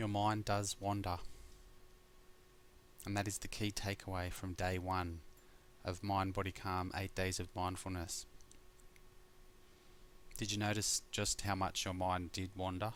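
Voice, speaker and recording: In an Australian accent, a man speaks with a very deep, low pitch and a monotone, flat intonation, leaving long, frequent pauses. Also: fairly slow pace. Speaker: mindfulness teacher. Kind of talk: guided meditation course talk. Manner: relaxed.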